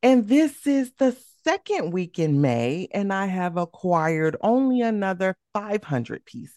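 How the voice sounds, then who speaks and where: In a dark, mellow tone, a woman talks playfully at a fairly slow pace with very wide pitch swings and hardly any pauses, the sound dry and close with no echo. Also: medium pitch for a woman. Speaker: podcast co-host. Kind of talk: casual chat. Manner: laughs often, playful.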